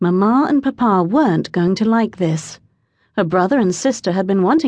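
The intonation is lively in this plain reading aloud, set against a quiet background.

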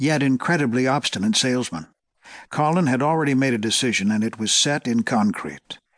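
The intonation is lively as the speaker is reading aloud in a natural voice. All around is a quiet background.

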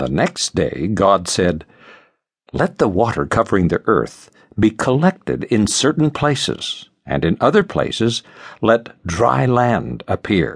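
In a solemn, dramatic tone, a man at medium pitch speaks at a very slow pace with vocal fry and very wide pitch swings, in a dry, close sound with no echo. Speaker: audiobook narrator. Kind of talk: scripted audiobook narration of scripture, dramatic. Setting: studio. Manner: measured, solemn, dramatic; formal, reverent, steady pacing.

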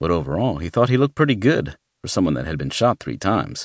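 With a dry, close sound and no echo, a man speaks with vocal fry and very wide pitch swings. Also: quiet background. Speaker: audiobook narrator. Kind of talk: audiobook narration of a thriller, with the opening in first-person letter style. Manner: dramatic, brooding, serious.

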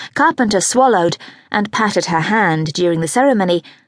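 The recording is dry and close with no echo, carrying a woman with a normal speaking voice at medium pitch, moderate pace and ordinary pitch variation. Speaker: audiobook narrator. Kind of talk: dramatic audiobook narration of a historical romance, read aloud. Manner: expressive and measured, with a storyteller's flow.

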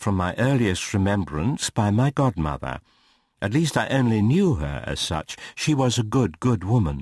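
Reading in a natural voice, the speaker uses lively intonation.

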